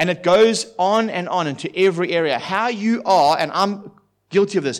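An animated, high-pitched man in a very clean recording with a silent background. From South Africa. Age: 40s. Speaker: pastor. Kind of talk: sermon. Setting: church.

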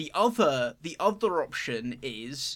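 A man with a bright, sharp tone at a fairly slow pace, in a very clean recording with a silent background. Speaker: podcast host. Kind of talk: casual chat.

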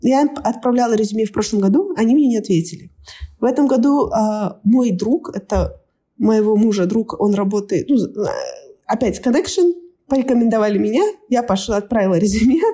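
A somewhat breathy voice with a dark, mellow tone speaks at a moderate pace, with very even loudness. Long, frequent pauses break up the speech. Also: woman, fairly high pitch for a woman, lively intonation. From Kazakhstan, Almaty. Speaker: scrum master. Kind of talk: casual chat.

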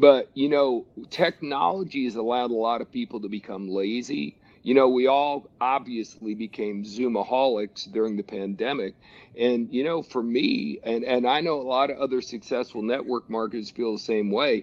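The speaker has an American accent, a moderate pace, and ordinary pitch variation. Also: man, medium pitch for a man. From US Northeast (New Jersey). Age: 60s. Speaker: network marketing trainer. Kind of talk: interview. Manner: animated.

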